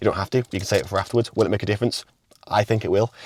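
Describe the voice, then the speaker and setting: The sound is dry and close, with no echo. A man speaks at a very fast pace with ordinary pitch variation. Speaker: fitness coach and natural bodybuilder. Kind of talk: casual vlog; voiceover narration. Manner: quiet.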